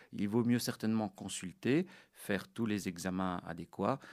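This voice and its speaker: The recording is very clean, with a silent background. A man with a fairly low pitch speaks at a moderate pace with fairly even intonation. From Belgium, Brussels. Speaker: orthopedic surgeon. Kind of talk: interview. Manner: halting.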